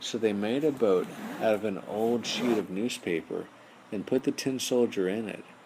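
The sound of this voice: Ordinary pitch variation shapes this unforced reading voice.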